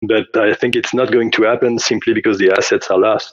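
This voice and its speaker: A man talks in a monotone, flat intonation. He has a French accent. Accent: French accent, noticeable. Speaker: game developer. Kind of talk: interview. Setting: audio call. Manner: halting, many fillers.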